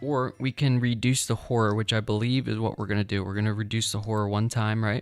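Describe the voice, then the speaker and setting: Over music in the background, a man at medium pitch rattles on very fast in a flat monotone with hardly any pauses. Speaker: board game streamer. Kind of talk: live gameplay commentary. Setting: livestream. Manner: loud at times.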